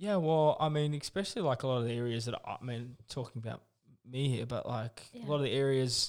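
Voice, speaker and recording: This man has a New Zealand accent and a fairly high voice. He talks at a fairly quick pace with ordinary pitch variation. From New Zealand, living in Australia. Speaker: podcast host. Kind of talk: informal. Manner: casual, swears often.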